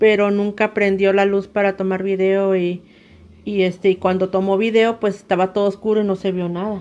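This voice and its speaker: Speaking at a moderate pace, a woman keeps her medium-pitched voice in a flat, monotone intonation. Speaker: storyteller, relative of host. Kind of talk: recorded testimony.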